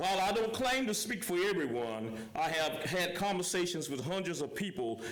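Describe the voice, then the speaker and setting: With a South Carolina accent, a man speaks at a moderate pace in a high voice that swings very widely in pitch. Audible room echo and noticeable background noise fill the recording. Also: hardly any pauses, very even loudness. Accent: South Carolina Southern US. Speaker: local business owner speaking at public comment. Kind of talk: public comment at council meeting. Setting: council meeting room. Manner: loud.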